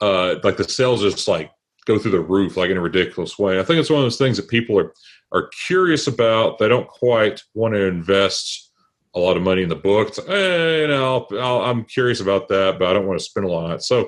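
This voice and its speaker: With a strong Southern US accent, a man speaks at a fairly quick pace and a fairly low pitch. His intonation is lively, and the background is quiet. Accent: thick Southern. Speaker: tech book author. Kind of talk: interview. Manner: halting, many fillers.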